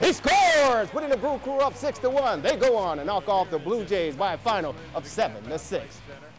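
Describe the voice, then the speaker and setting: A man with a high pitch talks energetically at a fairly quick pace, with very wide pitch swings and hardly any pauses. Music plays in the background. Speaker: local TV sports anchor. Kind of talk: play-by-play highlight call. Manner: fast, energetic.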